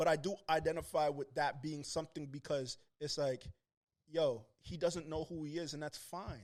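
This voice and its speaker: A man speaks with a Toronto accent. His pitch is fairly high and his pace moderate. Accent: Toronto accent, sometimes taken for New York. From Toronto, Canada. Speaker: rapper. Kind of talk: casual chat. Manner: animated.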